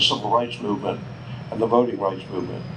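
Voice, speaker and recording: A man with an American accent speaks at a medium pitch, with noticeable background noise and audible room echo. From US South, Charleston, South Carolina. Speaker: war veteran. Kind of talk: memorial speech. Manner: conversational.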